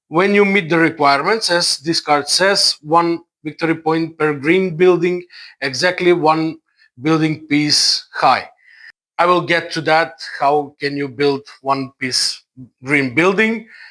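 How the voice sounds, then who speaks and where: With a non-native accent, a man speaks at a fairly slow pace in a fairly high, bright, sharp voice with ordinary pitch variation. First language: not English. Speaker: board game reviewer. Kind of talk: tutorial. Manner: halting, many fillers.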